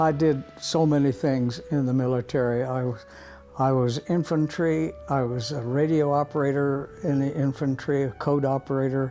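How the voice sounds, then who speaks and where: Music plays behind a man with a fairly high voice. His intonation stays fairly even. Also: moderate pace. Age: 90s. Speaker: war veteran. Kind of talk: interview. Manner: halting.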